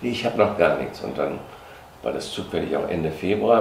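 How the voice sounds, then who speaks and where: With lively intonation, a man speaks at a moderate pace amid noticeable background noise. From Germany, Hesse. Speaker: former dancer; witness. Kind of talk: interview reminiscence. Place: home room.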